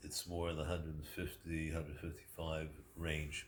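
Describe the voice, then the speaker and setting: Very deep and low in pitch, a man speaks at a very slow pace in a somewhat breathy voice. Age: 70s. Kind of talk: casual talk to camera.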